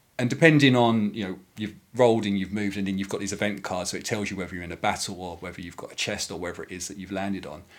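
A man's fairly low voice at a very fast pace, with big swings in loudness and ordinary pitch variation, on a very clean recording with a silent background. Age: 30s. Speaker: board game designer. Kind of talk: casual chat. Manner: halting.

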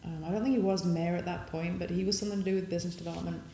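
Someone talks in a Yorkshire accent over noticeable background noise. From northern England, Sheffield. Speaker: bike industry entrepreneur. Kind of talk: interview.

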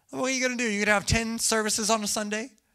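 At a very fast pace, a man speaks in an extremely high, raised and projected voice with an animated, bright, sharp tone. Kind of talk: sermon. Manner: animated, joking, audience-interactive.

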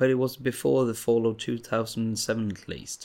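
With a Swedish accent, a man is talking. His intonation is fairly even. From Sweden. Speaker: podcast host. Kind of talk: casual monologue.

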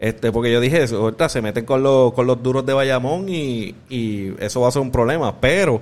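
A man talks fairly quickly in an ordinary speaking voice. His pitch is medium, with ordinary pitch variation. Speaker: podcast host. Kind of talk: casual chat.

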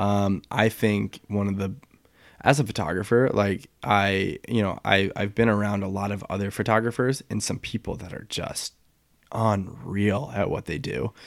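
On a very clean recording with a silent background, a man with an American accent uses a plain, everyday voice, speaking at a moderate pace with fairly low pitch and ordinary pitch variation. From US Midwest, St. Louis, Missouri. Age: 20s. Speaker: retail employee and photographer. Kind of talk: casual chat.

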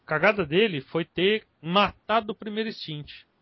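A man's intonation is lively while his pace stays moderate. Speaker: podcast host. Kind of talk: casual chat.

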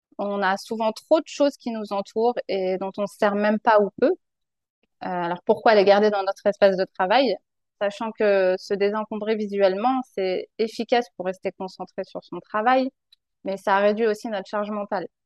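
Her pitch is medium and her intonation fairly even as a woman talks at a moderate pace with big swings in loudness. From France, Paris region. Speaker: professional organizer. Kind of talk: interview. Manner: hesitant.

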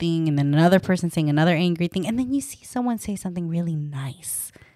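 In a very clean recording with a silent background, a woman with an unremarkable speaking voice talks at a fairly low pitch with lively intonation. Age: 30s. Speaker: dietitian and podcast host. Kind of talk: casual chat.

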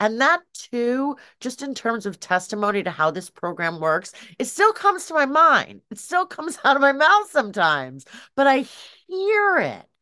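Her voice is raised and projected, high in pitch, with a bright, sharp tone. The woman talks at a moderate pace with very wide pitch swings. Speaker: meeting participant sharing. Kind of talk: testimony.

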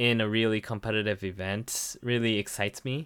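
In a Japanese accent, a man talks at a fairly slow pace with a bright, sharp tone on a very clean recording with a silent background. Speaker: game judge and co-host. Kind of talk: casual chat.

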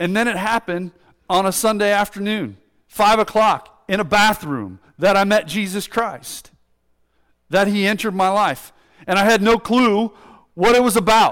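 A loud man speaks at a moderate pace. His pitch is high and his intonation fairly even. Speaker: pastor. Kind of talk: sermon. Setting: church.

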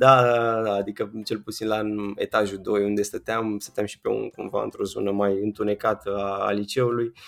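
A man speaks at a moderate pace and fairly low pitch, in a flat monotone. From Romania, Ilfov county near Bucharest. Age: 20s. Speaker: software developer. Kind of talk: casual interview. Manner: halting, many fillers.

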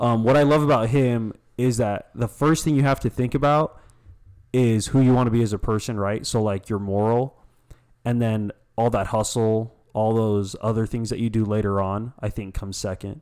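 This man has a plain, everyday voice at a medium pitch with fairly even intonation. The recording is very clean, with a silent background. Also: moderate pace. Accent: American. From US, various states. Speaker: small business owner. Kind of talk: casual interview chat. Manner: laid-back.

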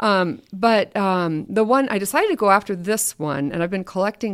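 On a very clean recording with a silent background, a woman speaks at a medium pitch. Her intonation is lively and her pace moderate. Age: 50s. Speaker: prairie seed program manager. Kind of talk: casual interview. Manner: hesitant, many fillers.

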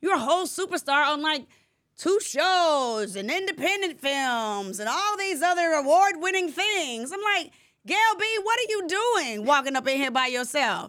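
A woman with an American accent, high pitch, very wide pitch swings and an animated tone at a moderate pace, in a very clean recording with a silent background. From Atlanta area, Georgia (Decatur). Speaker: podcast host. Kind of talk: casual interview chat. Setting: studio.

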